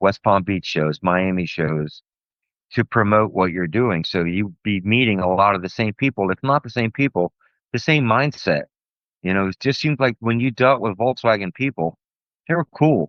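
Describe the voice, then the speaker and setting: With an American accent, a man speaks in an unremarkable speaking voice at a fairly low pitch and a moderate pace, his intonation lively. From US South, Florida (Tampa). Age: 60s. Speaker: car show promoter and drummer. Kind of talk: casual interview.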